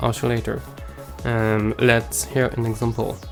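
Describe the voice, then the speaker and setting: A Quebec accent over music in the background. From Quebec City, Canada. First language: French. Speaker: music producer. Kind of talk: instructional tutorial.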